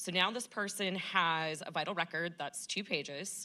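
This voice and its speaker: Loud and bright with a sharp tone, a woman speaks at a fairly slow pace on a very clean recording with a silent background. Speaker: state vital records registrar. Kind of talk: panel discussion.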